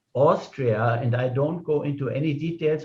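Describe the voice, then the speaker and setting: A somewhat breathy man with a German accent, fairly even intonation and a fairly slow pace. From Germany. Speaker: club meeting host. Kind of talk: speaker introduction.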